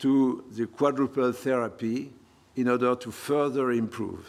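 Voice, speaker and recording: A man with a French accent talks at a moderate pace and medium pitch, with ordinary pitch variation. The recording is very clean, with a silent background. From France. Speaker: professor of hematology. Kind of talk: lecture. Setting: conference hall with audience.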